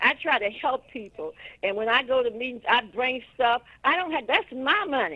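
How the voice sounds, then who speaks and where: A woman with an American accent speaks in a raised, projected voice at a moderate pace, her high pitch carrying a bright, sharp tone and lively intonation. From US Midwest, Detroit east side. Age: 70s. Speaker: caller. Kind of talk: call-in opinion. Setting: phone call. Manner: animated.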